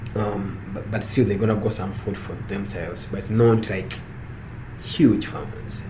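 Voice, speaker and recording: Over noticeable background noise and audible room echo, a man talks at a fairly slow pace with a fairly low pitch. His intonation is monotone and flat, his loudness swings widely, and he takes long, frequent pauses. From Uganda, near Kampala. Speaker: farmer and university researcher. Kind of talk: interview. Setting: studio, in person. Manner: halting.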